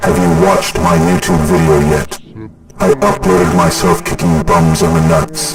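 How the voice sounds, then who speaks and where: A man's put-on character voice, very deep and low, at a moderate pace over loud background noise. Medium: read story. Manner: monotone, depressed-sounding.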